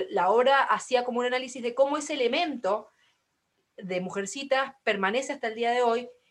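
At a moderate pace, a woman speaks in an unremarkable speaking voice with a fairly high pitch and ordinary pitch variation. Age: 20s. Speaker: podcast host. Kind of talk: casual chat.

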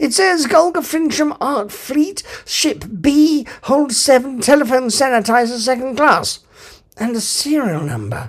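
A man puts on a character voice with an extremely high pitch. He delivers it at a fairly slow pace. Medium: read story. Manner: breezy, casual.

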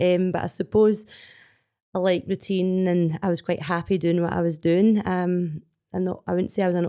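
A woman with a Scottish accent and fairly low pitch. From Scotland. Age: 40s. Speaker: CrossFit athlete. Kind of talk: casual chat. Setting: studio.

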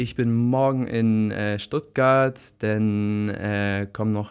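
A man with a plain, everyday voice, fairly low in pitch, on a very clean recording with a silent background. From northern Germany, Bremen area. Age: 20s. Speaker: author and book blogger. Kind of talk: casual interview. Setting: studio.

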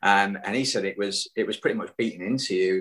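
A man with a Yorkshire accent at a moderate pace. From Hull, Yorkshire. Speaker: cycling club guest. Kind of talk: casual interview chat. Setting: remote call. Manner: hesitant, many fillers.

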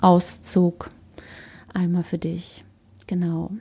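A woman's somewhat breathy, dark and mellow voice, fairly low in pitch, at a very slow pace with monotone, flat intonation. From Germany, Berlin. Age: 30s. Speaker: holistic coach, podcast host. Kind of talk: solo podcast monologue. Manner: hesitant, many fillers.

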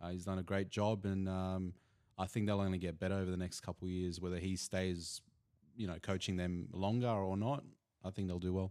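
At a fairly quick pace, a man with an Australian accent speaks in a very deep, low pitch with monotone, flat intonation. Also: very clean recording, silent background. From Bosnia (Banja Luka), grew up in Sydney. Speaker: sports analyst. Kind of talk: casual chat. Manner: hesitant, many fillers.

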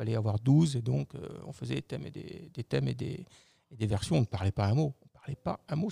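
A man talks at a moderate pace. The recording is very clean with a silent background, the sound dry and close with no echo. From Lorraine, eastern France (Metz). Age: 50s. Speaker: business executive. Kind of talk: interview.

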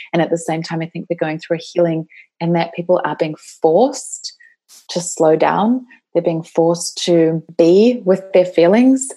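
A woman with a New Zealand accent speaks at a moderate pace with ordinary pitch variation. Her pitch is fairly low, and her tone is dark and mellow. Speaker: women's life coach. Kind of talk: podcast interview. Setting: remote call.

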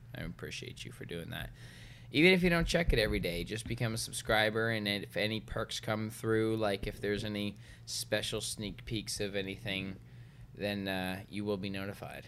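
With audible room echo, a man talks at a moderate pace in a fairly low voice, using ordinary pitch variation. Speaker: podcast co-host. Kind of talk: casual chat. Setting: home garage. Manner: loud when expressive; animated.

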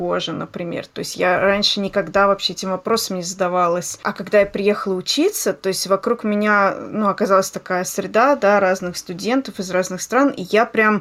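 The delivery is neither fast nor slow, at a moderate pace. It is an ordinary speaking voice. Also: woman. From Voskresensk, Moscow region, Russia. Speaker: podcast host. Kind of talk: casual chat.

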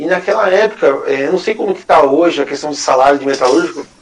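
A man talks at a very fast clip with ordinary pitch variation. Background noise is noticeable throughout. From Greater São Paulo, Brazil. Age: 30s. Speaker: small business owner. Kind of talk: casual interview.

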